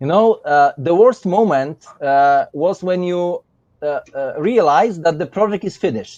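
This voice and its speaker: A man with a Polish accent talks at a fairly slow pace and high pitch, recorded with a dry, close sound and no echo. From Poland. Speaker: miniature painter, competition winner. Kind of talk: live stream chat. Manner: halting.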